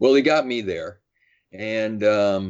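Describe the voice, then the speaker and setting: A man in an American accent with a plain, everyday voice, ordinary pitch variation and a fairly slow pace. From US Midwest, Madison, Wisconsin. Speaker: physician. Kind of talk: interview.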